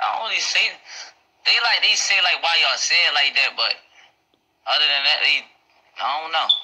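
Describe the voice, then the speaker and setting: In a Baltimore accent, a man talks at a fairly quick pace broken by long, frequent pauses. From Baltimore, Maryland. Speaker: local interviewee, dirt bike rider. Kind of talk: casual street interview. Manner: halting. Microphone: phone near.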